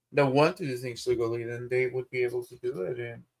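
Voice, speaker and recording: A man is speaking. He has a Spanish accent. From Spanish-speaking country. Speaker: streamer. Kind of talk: casual chat.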